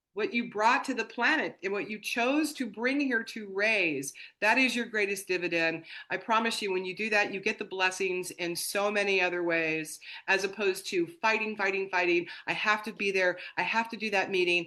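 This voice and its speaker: A woman speaks at a moderate pace with a medium pitch and ordinary pitch variation. Her tone is bright, sharp and animated. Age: 60s. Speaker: herbalist and business founder. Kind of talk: interview.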